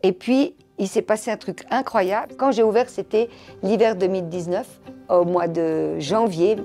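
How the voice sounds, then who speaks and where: A woman speaks at a fairly slow pace in a medium pitch with ordinary pitch variation, music playing in the background. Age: 60s. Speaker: fashion designer and shop owner. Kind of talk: personal interview testimony. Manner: hesitant, many fillers; animated storytelling.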